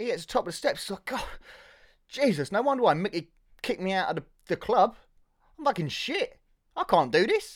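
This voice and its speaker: This is a man speaking with a southern English accent. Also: very clean recording, silent background. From Hertfordshire, England. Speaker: film podcaster and background actor. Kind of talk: casual solo podcast film review. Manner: halting, many fillers and repetitions.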